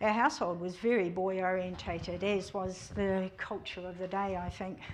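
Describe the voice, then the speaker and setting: In a New Zealand accent, a woman speaks at a moderate pace amid audible room echo. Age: 60s. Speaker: church member giving testimony. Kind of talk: testimony. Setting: church service.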